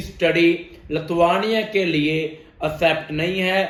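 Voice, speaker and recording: A man with a Punjabi accent, amid audible room echo. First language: Punjabi (speaking Hindi). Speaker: immigration consultant. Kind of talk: informational explainer video.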